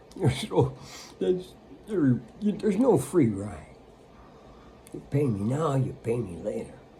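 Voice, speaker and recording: Pitch swings very widely as the speaker talks at a fairly slow pace, with long, frequent pauses over noticeable background noise. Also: man, medium pitch for a man. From United States. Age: 80s+. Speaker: spiritual teacher. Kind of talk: spiritual talk. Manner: casual, conversational.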